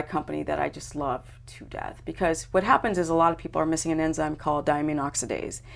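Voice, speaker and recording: A woman's very deep, low voice comes through in a bright, sharp tone on a very clean recording with a silent background. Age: 50s. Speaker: health and wellness expert, former pro skateboarder. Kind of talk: casual interview chat.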